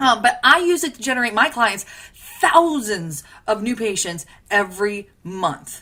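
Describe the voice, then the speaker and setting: Enthusiastic and bright, with a sharp tone, a woman talks at a fairly slow pace, her fairly high pitch swinging very widely. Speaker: marketing consultant for dentists. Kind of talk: webinar training presentation.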